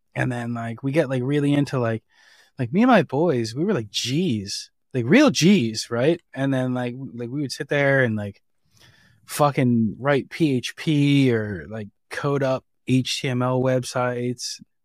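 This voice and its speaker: A man with a New Jersey accent, medium pitch, ordinary pitch variation and a fairly slow pace, on a very clean recording with a silent background. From New Jersey, Jersey Shore. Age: 30s. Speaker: software engineer. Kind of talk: casual chat.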